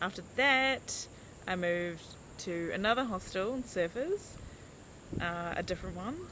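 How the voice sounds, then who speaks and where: In a New Zealand accent, a woman with a bright, sharp tone and medium pitch speaks at a fairly slow pace, her intonation lively and broken by long, frequent pauses. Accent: New Zealand, mumbling. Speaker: life coach. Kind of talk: casual vlog chat. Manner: rambling with fillers and hesitations.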